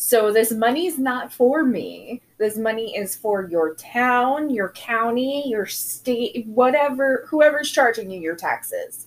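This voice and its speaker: Speaking at a very slow pace with hardly any pauses, a woman uses a high pitch and lively intonation. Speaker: podcast host. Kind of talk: casual chat.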